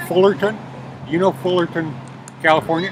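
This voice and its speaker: A man talks with a high pitch against noticeable background noise. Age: 60s. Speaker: homeless traveler. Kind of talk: interview testimony. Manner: halting.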